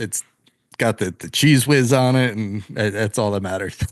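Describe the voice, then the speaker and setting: A man with a New Jersey accent speaks at a moderate pace and medium pitch. Behind him the background stays quiet. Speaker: podcast host. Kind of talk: casual interview.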